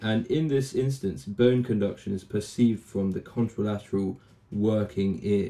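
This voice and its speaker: At a moderate pace, a man talks in a fairly low pitch with a dark, mellow tone and ordinary pitch variation. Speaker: final year medical student. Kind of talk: educational medical tutorial narration.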